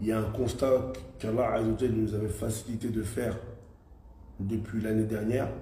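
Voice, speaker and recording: Fairly quick speech from a man at medium pitch, monotone and flat, broken by long, frequent pauses, with noticeable background noise and audible room echo. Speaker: live stream host. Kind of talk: live stream discussion. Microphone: connection glitching.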